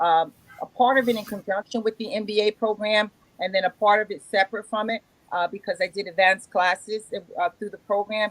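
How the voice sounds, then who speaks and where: Recorded dry and close with no echo, a woman speaks at a fairly quick pace with fairly even intonation. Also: fairly high pitch for a woman. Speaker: business loan broker. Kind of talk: interview. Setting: remote call. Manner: loud; halting.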